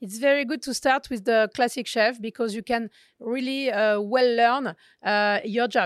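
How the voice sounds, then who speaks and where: A woman with a French accent talks at a moderate pace, her pitch fairly high with ordinary variation. The sound is dry and close with no echo, on a very clean recording with a silent background. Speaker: chef. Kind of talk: interview. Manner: halting.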